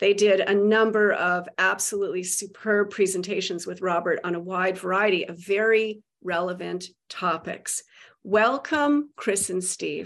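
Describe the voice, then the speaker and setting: A normal speaking voice at a fairly slow pace, with ordinary pitch variation, in a very clean recording against a silent background. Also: woman, medium pitch for a woman. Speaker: podcast host. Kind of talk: interview discussion.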